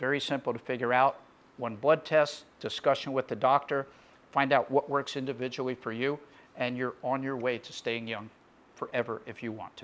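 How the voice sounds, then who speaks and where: Loudness swings widely as a man speaks in a monotone, flat intonation. His pitch is medium and his pace moderate. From USA. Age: 60s. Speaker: physician. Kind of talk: promotional talk.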